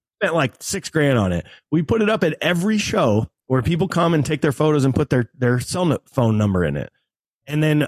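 A man speaks at a moderate pace in an animated tone with lively intonation, the sound dry and close with no echo. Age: 40s. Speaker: cover band drummer. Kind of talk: interview.

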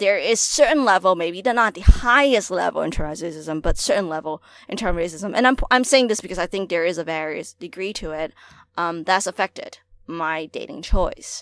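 Speaking at a moderate pace, a woman with an unremarkable speaking voice and a medium pitch uses lively intonation and big swings in loudness. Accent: American. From Hong Kong, then New York City from age eleven. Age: 20s. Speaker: student activist. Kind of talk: casual podcast discussion.

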